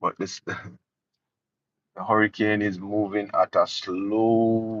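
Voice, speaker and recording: Monotone, flat intonation from a man at medium pitch with a Jamaican accent, in a dry, close sound with no echo and a quiet background. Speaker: political commentary youtuber. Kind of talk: live stream commentary.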